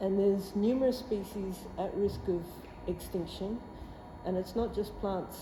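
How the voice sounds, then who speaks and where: Amid noticeable background noise and audible room echo, a woman speaks at a medium pitch and a moderate pace with ordinary pitch variation. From southwest Australia. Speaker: plant pathologist, scientist. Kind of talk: lecture. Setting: presentation at meeting with audience.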